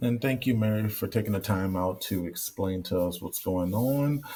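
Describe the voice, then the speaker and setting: At a moderate pace, a man speaks with a dark, mellow tone, fairly low pitch, ordinary pitch variation, and a somewhat breathy quality. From Louisiana. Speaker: sports director. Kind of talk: informational presentation.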